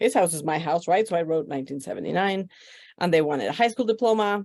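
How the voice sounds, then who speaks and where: Speaking with a Spanish accent, a woman uses a fairly low pitch with very wide pitch swings. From Mexico, Mexico City. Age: 50s. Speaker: podcast guest. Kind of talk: life story interview.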